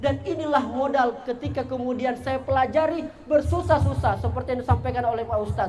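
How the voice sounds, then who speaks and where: Spoken in a strong Bugis accent, the voice is animated and very fast. Noticeable background noise and audible room echo sit behind it. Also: man. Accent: thick Bugis. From South Sulawesi, Indonesia (Bugis). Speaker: content creator and motivational speaker. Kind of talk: motivational talk to school students. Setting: school hall with student audience.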